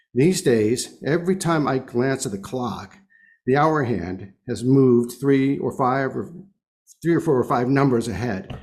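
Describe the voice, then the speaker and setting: Audible room echo surrounds a man speaking at medium pitch. He keeps a moderate pace with lively intonation. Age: 70s. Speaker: lay speaker at congregation service. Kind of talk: sermon.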